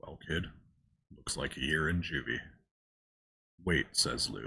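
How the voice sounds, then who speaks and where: Bright and sharp in tone, a man speaks at a fairly slow pace with vocal fry. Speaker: story narrator. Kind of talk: ASMR creepypasta reading. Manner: soft-spoken.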